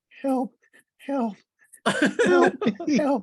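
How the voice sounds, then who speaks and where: A female-sounding voice puts on a character voice with a high pitch. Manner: pleading, desperate.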